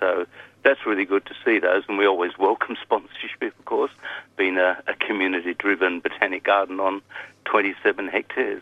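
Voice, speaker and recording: Moderate-paced speech from a man in an Australian accent. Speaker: botanic garden volunteer. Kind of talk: casual chat. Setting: phone call.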